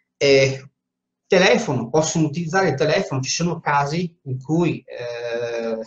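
Somewhat breathy, a man with a strong Venetian accent talks at a moderate pace and a fairly high pitch. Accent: strong Veneto Italian. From Veneto, Italy. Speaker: teacher and spiritual medium. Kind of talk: informal live talk with Q&A. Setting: Facebook live stream. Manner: informal, chatty. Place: office. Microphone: webcam.

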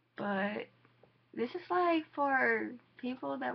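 Noticeable background noise sits behind a woman with an American accent. Her fairly high voice makes very wide pitch swings. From US South, Georgia. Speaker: vlogger. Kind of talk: casual vlog to camera. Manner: halting, many fillers.

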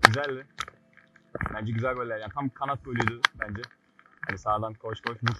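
Loud background noise accompanies a man speaking at a fairly quick pace, his voice dry with no echo. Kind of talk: casual vlog chat. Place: rain. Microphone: phone near.

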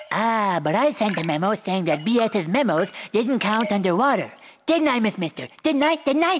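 A man performs a cartoonish character voice, pitched high. He keeps a moderate pace and swings his pitch very widely. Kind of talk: comic overacting. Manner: goofy, fawning, theatrical.

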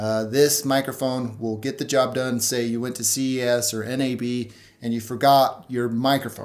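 Flat, monotone intonation at a moderate pace. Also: man. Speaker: tech reviewer. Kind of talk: review commentary. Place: home room.

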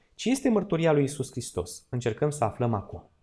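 Somewhat breathy, the man's voice moves at a moderate pace. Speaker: church Bible study teacher. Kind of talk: Bible study lecture in church. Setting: church hall with live audience. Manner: interactive, asks audience questions. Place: hall. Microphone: podium.

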